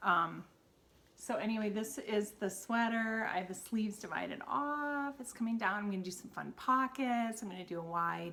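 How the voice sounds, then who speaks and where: A woman with a Wisconsin accent speaks at a moderate pace in a fairly high pitch. Her tone is bright and sharp, with ordinary pitch variation. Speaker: knitting podcaster and yarn seller. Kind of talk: casual solo podcast chat. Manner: halting, many fillers.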